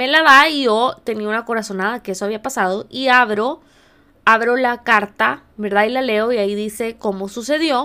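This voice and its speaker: In a very clean recording with a silent background, a woman with a fairly high, bright, sharp voice talks at a moderate pace. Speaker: podcast host, life coach. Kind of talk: personal testimony monologue.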